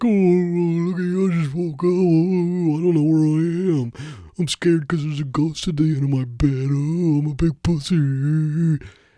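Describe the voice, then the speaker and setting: A put-on character voice at a middle pitch delivers its lines at a moderate pace. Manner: mocking, roasting.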